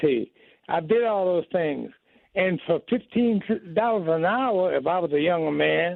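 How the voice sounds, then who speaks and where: A man with an American accent talks at a fairly slow pace in a high pitch. His pitch varies in an ordinary way, and his loudness stays very even. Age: 80s+. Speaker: caller. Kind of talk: phone-in chat. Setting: phone call.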